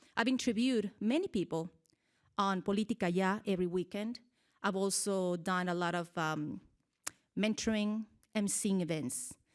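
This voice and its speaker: With a Mexican accent, a woman talks at a medium pitch. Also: very clean recording, silent background. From Mexico, Michoacan. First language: Spanish. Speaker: TV journalist. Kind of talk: public speech.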